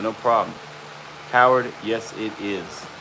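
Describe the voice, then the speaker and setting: A man speaks at medium pitch with fairly even intonation. Noticeable background noise is present. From central Arkansas. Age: 30s. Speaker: hide tanner. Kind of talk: live stream chat. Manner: casual.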